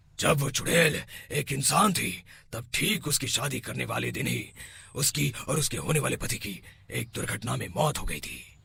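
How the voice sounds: At a medium pitch and moderate pace, a man performs a cartoonish character voice.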